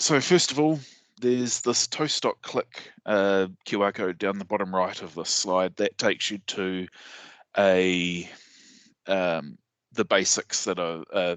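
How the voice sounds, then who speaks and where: Someone with a New Zealand accent speaks at a fairly slow pace with ordinary pitch variation, in a dry, close sound with no echo over a quiet background. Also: man, fairly low pitch for a man. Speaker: sysadmin and conference speaker. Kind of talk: technical presentation. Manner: hesitant, many fillers.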